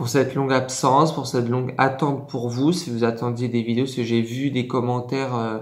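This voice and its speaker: Fairly slow, monotone, flat delivery from a man at a medium pitch. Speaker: ASMR creator. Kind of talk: casual talk to camera. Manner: hesitant, many filler words.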